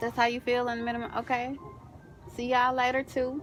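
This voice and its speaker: A high-pitched woman's voice at a moderate pace, with music in the background. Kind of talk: casual talk to camera.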